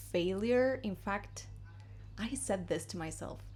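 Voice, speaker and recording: With a Spanish accent, this voice moves at a fairly slow speed. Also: woman. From Argentina. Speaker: English teacher. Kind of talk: casual vlog-style lesson. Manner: conversational, chatty.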